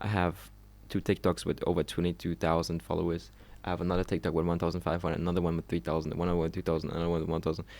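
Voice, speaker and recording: Very fast speech with vocal fry, very even loudness and ordinary pitch variation, on a very clean recording with a silent background. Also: man, very deep, low pitch for a man. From Germany, Trier. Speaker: social media creator. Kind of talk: casual monologue. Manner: halting; uneven pitch.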